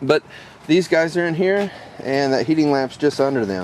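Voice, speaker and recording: Light background noise sits under a man speaking at a moderate pace, the sound dry with no echo. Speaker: rabbit breeder. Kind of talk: casual video tour. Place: farm machine. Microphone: phone near.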